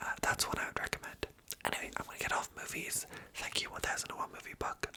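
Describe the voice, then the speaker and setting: Amid noticeable background noise, a relaxed whisper comes through. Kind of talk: ASMR whisper ramble. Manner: soft whispering, relaxed, rambling.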